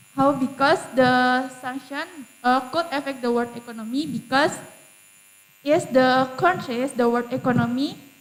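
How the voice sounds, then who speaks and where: Music plays in the background. Over it, a woman talks in a high voice. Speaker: university student contestant. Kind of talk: competition Q&A. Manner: halting.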